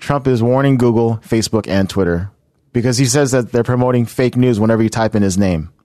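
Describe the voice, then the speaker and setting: At a fairly quick pace, a man speaks in a dark, mellow tone at medium pitch, with ordinary pitch variation and very even loudness. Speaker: podcast co-host. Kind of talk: casual chat. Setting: studio.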